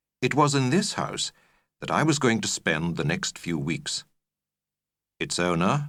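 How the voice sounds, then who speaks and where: A man speaks at a moderate pace in a medium pitch with very wide pitch swings and vocal fry. The recording is very clean, with a silent background. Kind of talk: audiobook narration of a graded reader. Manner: measured, clear pacing for learners.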